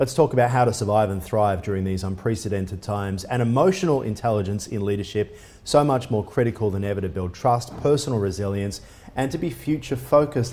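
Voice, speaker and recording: In an Australian accent, a man speaks at a fairly quick pace with a fairly low, somewhat breathy voice and a dark, mellow tone. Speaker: business news interviewer. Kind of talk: interview.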